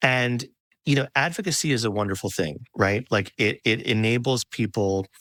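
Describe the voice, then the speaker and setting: A man with a normal speaking voice talks at a fairly slow pace and medium pitch, with ordinary pitch variation, in a very clean, dry, close recording with no echo and a silent background. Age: 40s. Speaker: podcast host. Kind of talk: interview conversation.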